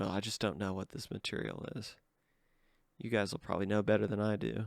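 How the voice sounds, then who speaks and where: Vocal fry comes through alongside pitch that varies in an ordinary way. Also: man, fairly low pitch for a man, fairly quick pace. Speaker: artifact hunter. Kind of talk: casual tutorial-style show and tell.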